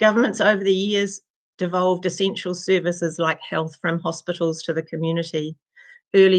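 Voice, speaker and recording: In a New Zealand accent, a woman with a fairly low pitch speaks at a moderate pace with monotone, flat intonation against a quiet background. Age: 70s. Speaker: retired nurse and midwife, community advocate. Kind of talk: public submission read from prepared text.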